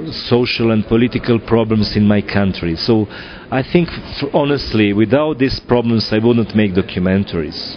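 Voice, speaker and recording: With a Serbian accent, a man talks at a moderate pace and medium pitch with ordinary pitch variation over noticeable background noise. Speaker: film director. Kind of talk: interview. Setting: film festival. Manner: halting, many fillers.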